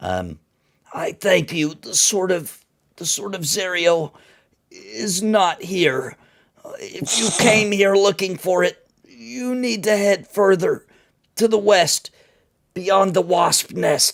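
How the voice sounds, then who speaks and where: Putting on a character voice, a man speaks at a high pitch and a very slow pace. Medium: actual play. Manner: pleading, remorseful.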